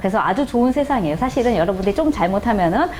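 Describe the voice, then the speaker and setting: Audible room echo surrounds a woman's voice. Noticeable background noise is also present. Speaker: tax accountant lecturer. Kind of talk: lecture. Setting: classroom with audience. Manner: fast.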